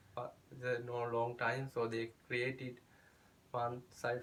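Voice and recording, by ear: Against audible room echo, a man talks at a medium pitch with monotone, flat intonation.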